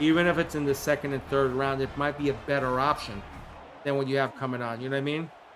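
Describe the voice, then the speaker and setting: In a New York accent, a man speaks with a fairly high pitch. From New York City (Queens). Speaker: gaming streamer. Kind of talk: live commentary. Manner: animated.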